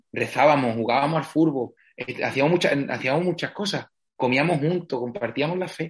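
At a moderate pace, a man talks in an unremarkable speaking voice. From Spain, Andalusia (Villamartín, Cádiz). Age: 20s. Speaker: parish priest. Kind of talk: interview.

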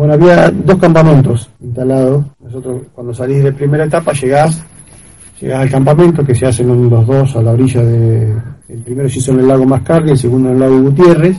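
Somewhat breathy, with a dark, mellow tone, the voice moves at a fairly quick pace with ordinary pitch variation. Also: man, medium pitch for a man. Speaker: amateur trail runner. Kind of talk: interview. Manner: halting.

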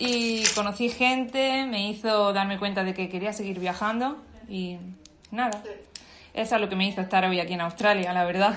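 With audible room echo, a woman speaks at a moderate pace. Her voice is medium in pitch with fairly even intonation. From Andalusia, Spain (Bailén, Jaén). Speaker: expat interviewee. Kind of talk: casual interview. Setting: video call.

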